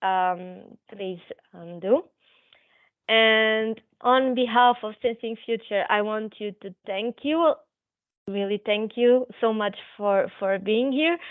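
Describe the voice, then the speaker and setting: Very slowly, a woman speaks with ordinary pitch variation. Her loudness swings widely. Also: fairly high pitch for a woman. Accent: Portuguese. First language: Portuguese. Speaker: physiotherapist presenting a webinar. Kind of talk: webinar presentation. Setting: online webinar. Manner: halting, many fillers.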